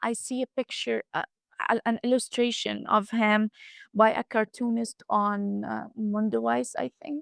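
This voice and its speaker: On a very clean recording with a silent background, a woman with an Arabic accent sounds dry and close, with no echo. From Gaza Strip, Rafah and Gaza City. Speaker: student. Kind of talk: interview testimony. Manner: halting.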